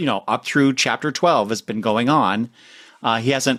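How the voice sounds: Here is a natural reading voice. Its pitch varies in an ordinary way.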